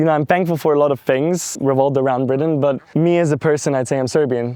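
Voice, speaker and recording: Here a man speaks at a very fast pace. His pitch is medium and his tone dark and mellow. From London, England. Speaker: entrepreneur. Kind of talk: interview. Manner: hesitant with fillers.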